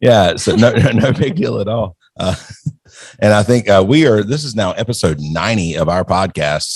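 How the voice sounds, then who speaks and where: A man with a fairly low pitch talks at a moderate pace with lively intonation. It is a plain, everyday voice. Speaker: podcast host. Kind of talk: interview.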